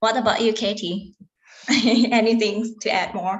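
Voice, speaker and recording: A woman speaks at a fairly slow pace in a somewhat breathy voice with fairly high pitch. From Thailand. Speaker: event host and moderator. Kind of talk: webinar moderation. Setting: livestream video call.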